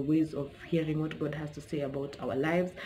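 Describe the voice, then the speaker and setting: In a room with audible echo, a woman talks very fast in a very deep, low voice. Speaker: YouTuber. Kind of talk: casual vlog talk to camera.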